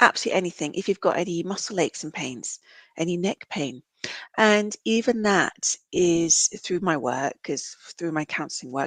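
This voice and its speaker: Lively in intonation, a woman with a British accent speaks at a fairly low pitch, the sound dry and close with no echo against a quiet background. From UK. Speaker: counsellor and reflexologist. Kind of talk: podcast interview.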